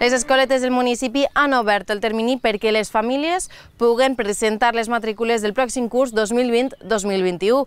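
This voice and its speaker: In an unremarkable speaking voice, a woman talks at a moderate pace and fairly high pitch with fairly even intonation, and the sound is dry with no echo. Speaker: news presenter. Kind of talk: news reading. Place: open country. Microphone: lapel.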